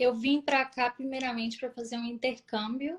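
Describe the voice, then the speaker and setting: A woman speaks in a Minas Gerais accent, her voice somewhat breathy. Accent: Brazilian Portuguese, mineiro. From Brazil, Minas Gerais (Vespasiano, Belo Horizonte area). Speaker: nurse. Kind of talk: interview.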